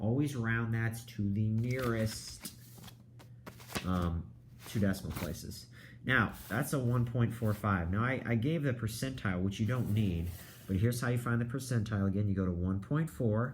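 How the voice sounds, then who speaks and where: There is audible room echo as a man talks at medium pitch and a moderate pace, with ordinary pitch variation and very even loudness. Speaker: high school math teacher. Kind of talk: lecture. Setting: recorded video lesson.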